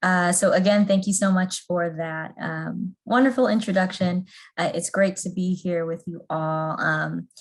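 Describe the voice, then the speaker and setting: Over a quiet background, a woman with a somewhat breathy voice speaks at a fairly slow pace, using a medium pitch and fairly even intonation. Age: 30s. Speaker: trainer. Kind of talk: training presentation.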